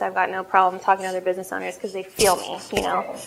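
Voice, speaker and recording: The background noise is noticeable. A woman talks over it. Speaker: coffee shop owner and entrepreneur. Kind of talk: business presentation Q&A. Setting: cafe with live audience. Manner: loud; casual, hesitant with fillers.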